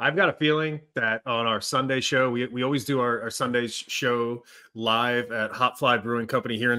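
A man talks at a medium pitch. It is an ordinary speaking voice. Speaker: soccer podcast host. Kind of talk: casual sports podcast chat. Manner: upbeat.

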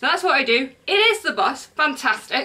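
The speaker is a woman whose pace is moderate. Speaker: crochet podcaster. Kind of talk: casual vlog chat. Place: home room. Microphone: camera far.

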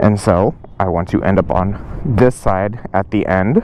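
Over light background noise, a man speaks at a fairly slow pace in a dry sound with no echo. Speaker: motorcycle riding instructor. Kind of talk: tutorial. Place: street. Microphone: lapel.

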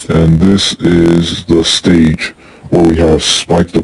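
A man puts on a character voice that is raspy and very deep in pitch. He talks at a very slow pace in a monotone, flat intonation. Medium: short film. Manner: casual, offhand.

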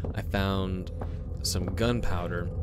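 A man speaks with a very deep, low pitch. Music plays in the background. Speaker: gaming streamer. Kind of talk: commentary. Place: home room.

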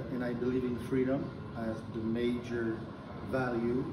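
Noticeable background noise sits behind the speech. A man talks at a moderate pace. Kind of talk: interview answer. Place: meeting room. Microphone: camera far.

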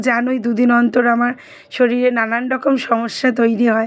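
A woman speaks in a high voice. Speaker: lifestyle vlogger. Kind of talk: casual vlog narration. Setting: at home.

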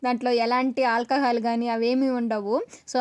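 The dry, close recording with no echo captures a woman speaking at a high pitch. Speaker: travel and cooking YouTuber. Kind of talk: vlog voice-over narration. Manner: halting, stumbles over words.

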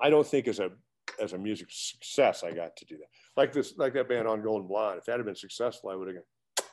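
A man with an American accent, very fast pace, big swings in loudness, and light background noise. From US Midwest, eastern Nebraska. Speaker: retired rock guitarist; guest. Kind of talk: interview. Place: home room. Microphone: webcam.

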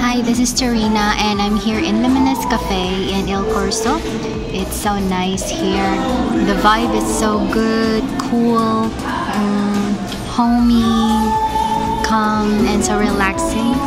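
A woman's very slow speech over loud music in the background. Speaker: vlogger. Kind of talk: casual vlog chat. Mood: relaxed, cheerful. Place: cafe. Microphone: phone near.

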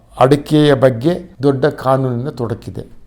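A man speaks with a dark, mellow tone. His medium pitch shows ordinary variation. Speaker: agricultural scientist, former farm price commission chair. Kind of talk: expert commentary monologue. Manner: halting, many pauses.

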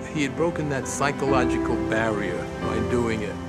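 A man talks at a fairly slow pace. Loud music plays in the background. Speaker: bodybuilder and personal trainer. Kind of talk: documentary interview answer. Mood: calm, reflective. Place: garden.

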